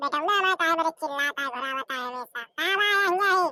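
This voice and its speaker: Doing a squeaky, cartoonish character voice, a woman speaks at an extremely high pitch and a fairly quick pace with lively intonation, recorded dry and close with no echo. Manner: scolding, rustic.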